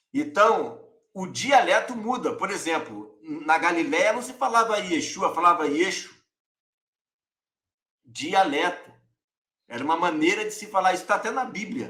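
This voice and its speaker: At a fairly slow pace with long, frequent pauses, a man speaks in a high, raised, projected voice that is bright and sharp in tone. His intonation is lively, and his loudness swings widely. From Rio de Janeiro, Brazil. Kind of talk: teaching, explanatory.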